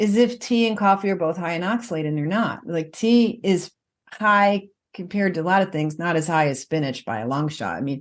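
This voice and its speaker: Using a plain, everyday voice, a woman speaks at a fairly quick pace with an American accent. Her pitch is fairly low and her intonation lively. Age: 50s. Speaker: nutritionist and author. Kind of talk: podcast interview.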